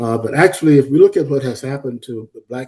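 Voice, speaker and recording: With an American accent, a man speaks at a fairly quick pace and a medium pitch. His tone is dark, mellow and somewhat breathy, with fairly even intonation. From US South (Florida). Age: 80s+. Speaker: historian and psychology professor. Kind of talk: lecture. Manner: hesitant, many fillers.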